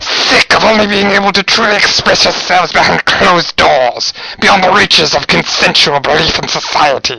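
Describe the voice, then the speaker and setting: Putting on a character voice, a man talks at a moderate pace in a high register, with clear background noise behind him. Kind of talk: dramatic speech to a crowd. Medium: role play. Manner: commanding, fervent.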